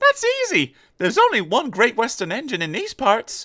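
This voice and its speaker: At a moderate pace, a man performs a put-on character voice pitched extremely high. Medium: read story. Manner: friendly, good-humoured.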